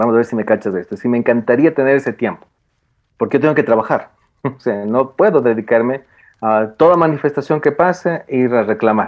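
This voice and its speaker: A man talks at a fairly quick pace in a plain, everyday voice. His pitch is medium with ordinary variation. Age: 40s. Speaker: philosophy and education scholar. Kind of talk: casual chat.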